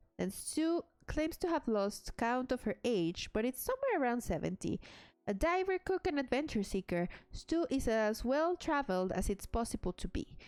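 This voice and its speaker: A woman's high pitch with a Mexican accent, very wide pitch swings, very even loudness, and a moderate pace, in a dry, close sound with no echo. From Mexico. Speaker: game streamer. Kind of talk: gameplay stream, reading game text aloud with commentary. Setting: live stream.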